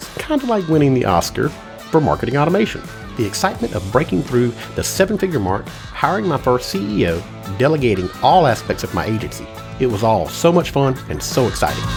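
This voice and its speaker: A man speaks at a very fast pace. Behind him, there is music in the background. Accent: American. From Mississippi Gulf Coast, United States. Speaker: marketing agency coach. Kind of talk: promotional self-introduction to camera.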